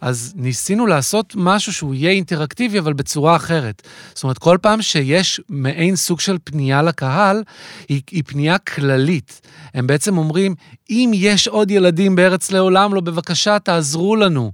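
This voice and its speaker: In a dry, close recording with no echo, a man with a high pitch speaks at a moderate pace with lively intonation. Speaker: theatre director. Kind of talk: interview. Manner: hesitant, many fillers.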